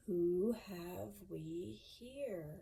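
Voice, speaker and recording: A woman puts on a character voice with a fairly low pitch. Her pitch swings very widely. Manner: slow, deliberate.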